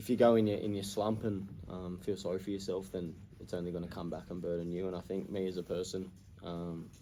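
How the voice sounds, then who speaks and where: Speaking fairly quickly with an Australian accent, a man has a very deep, low pitch, a dark, mellow tone, and fairly even intonation. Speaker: professional footballer. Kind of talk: post-match interview answer.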